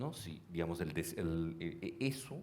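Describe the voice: At a fairly quick pace, a man speaks at a low pitch with a slightly mellow tone.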